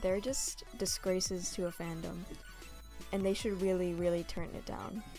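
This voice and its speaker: A medium-pitched woman at a moderate pace over background music. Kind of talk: casual talk to camera. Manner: monotone.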